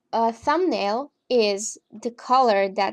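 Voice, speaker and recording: Against a quiet background, a woman with an Eastern European accent speaks at a fairly high pitch. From Romania. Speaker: gaming tutorial creator. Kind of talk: casual tutorial narration.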